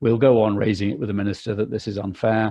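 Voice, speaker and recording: This man speaks with fairly even intonation at a fairly low pitch, sounding somewhat breathy. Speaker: landowners' association policy representative. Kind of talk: webinar presentation. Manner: fast; hesitant, many fillers and repetitions.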